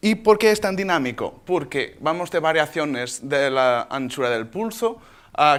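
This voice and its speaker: On a very clean recording with a silent background, a man talks very slowly with lively intonation. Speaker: doctor presenting at a laser symposium. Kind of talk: conference talk. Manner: halting, with false starts.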